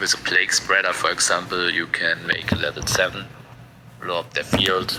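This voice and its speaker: A man with a non-native accent at a moderate pace, over noticeable background noise. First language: not English. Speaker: card game content creator. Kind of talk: casual commentary video. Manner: halting, many fillers.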